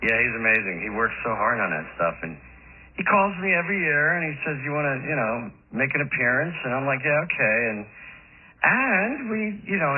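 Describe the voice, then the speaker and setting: Over noticeable background noise and audible room echo, a man talks at a fairly quick pace with lively intonation and a fairly high pitch. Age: 60s. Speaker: rock musician and songwriter. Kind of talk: radio interview.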